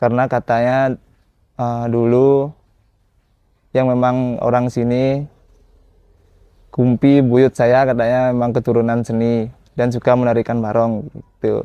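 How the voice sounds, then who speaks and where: At a fairly slow pace, a man with a medium pitch and a dark, mellow tone speaks in a monotone, flat way with long, frequent pauses. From Bali, Badung regency. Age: 20s. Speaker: barong dancer and dance teacher. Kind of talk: documentary interview. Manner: casual, with filler hesitations.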